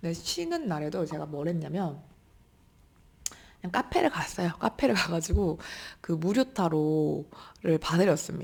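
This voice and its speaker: Her pitch fairly low and her intonation lively, a woman speaks at a fairly slow pace with long, frequent pauses. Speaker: tarot reader and YouTuber. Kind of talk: casual chat.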